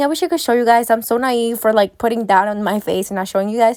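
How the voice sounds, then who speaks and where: A woman's fairly high voice comes through on a very clean recording with a silent background. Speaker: beauty vlogger. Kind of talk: tutorial voiceover. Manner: loud; casual, chatty.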